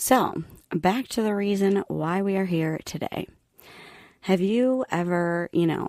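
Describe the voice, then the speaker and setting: On a very clean recording with a silent background, a soft-spoken woman talks at a very slow pace with ordinary pitch variation. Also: medium pitch for a woman. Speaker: podcast host. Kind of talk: solo podcast monologue.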